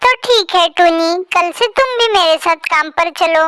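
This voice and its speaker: The voice is a cartoonish character with an extremely high pitch. Its pace is moderate. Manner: gentle, comforting.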